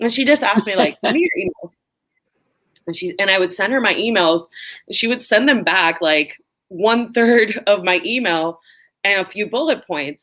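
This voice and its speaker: A woman of medium pitch with a Spanish accent speaks at a moderate pace with lively intonation and a bright, sharp tone. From Puerto Rico. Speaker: drinks brand ambassador. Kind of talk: interview. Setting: live online interview.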